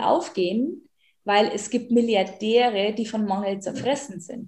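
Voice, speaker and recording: The woman's pitch is fairly high with ordinary variation. She talks at a fairly slow pace. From rural German-speaking area, farming background. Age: 30s. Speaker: life and money coach. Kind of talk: interview. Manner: animated.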